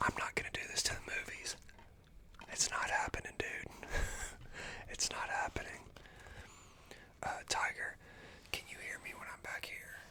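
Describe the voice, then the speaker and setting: A man whispers at a moderate pace with long, frequent pauses over noticeable background noise. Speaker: ASMR streamer. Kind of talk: ASMR live stream talk. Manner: whispered.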